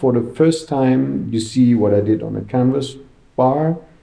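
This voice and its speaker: There is audible room echo as a man speaks at a medium pitch in a dark, mellow tone with lively intonation. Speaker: graffiti artist. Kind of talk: interview.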